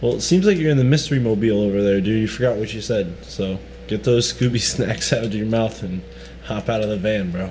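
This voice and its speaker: Against noticeable background noise, a man with a fairly low voice talks fairly quickly with ordinary pitch variation. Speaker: podcast host. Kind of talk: casual chat.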